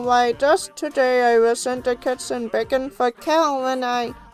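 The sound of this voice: A female-sounding, put-on character voice pitched high, with faint music in the background.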